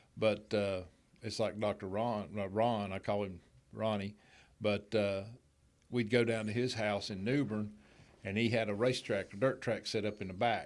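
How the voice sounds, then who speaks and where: In a very clean recording with a silent background, a man with a North Carolina accent and a fairly low pitch speaks at a moderate pace in a monotone, flat intonation with long, frequent pauses. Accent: Southern US (North Carolina). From western North Carolina, Hickory area. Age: 60s. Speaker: gym owner and speedway official. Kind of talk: casual interview. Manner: halting, repeats words.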